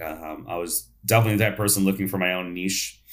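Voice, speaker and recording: A man in an American accent on a very clean recording with a silent background. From New York. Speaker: dentist and speaker. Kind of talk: interview.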